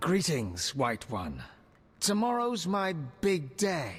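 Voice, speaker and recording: A put-on character voice from a man, very slow in delivery and high-pitched. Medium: video game. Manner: polite, calm, wry.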